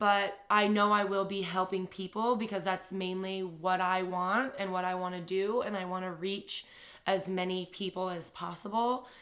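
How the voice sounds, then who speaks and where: A woman talks at a medium pitch. It is a normal speaking voice. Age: 20s. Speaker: fitness trainer and nutrition coach. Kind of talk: self-introduction monologue to camera.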